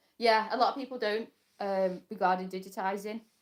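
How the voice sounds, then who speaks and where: A woman with a British accent. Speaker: crafter and small embroidery business owner. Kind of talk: casual live stream chat. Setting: live stream from home workshop. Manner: fast; chatty, halting with fillers.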